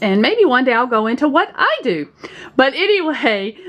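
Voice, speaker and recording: The voice moves through very wide pitch swings at a moderate pace over noticeable background noise. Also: woman. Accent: Southern US. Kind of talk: casual talk to camera.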